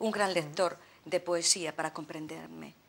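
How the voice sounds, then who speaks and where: A woman's fairly slow, monotone, flat delivery. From Galicia, Spain (Ferrol). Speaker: poet. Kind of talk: interview. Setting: TV studio. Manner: hesitant, repeating words. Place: studio.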